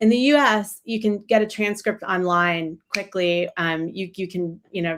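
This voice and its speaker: A woman speaks in a normal speaking voice with an American accent, at a moderate pace and with ordinary pitch variation. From United States. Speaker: journalist. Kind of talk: panel discussion. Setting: live stream.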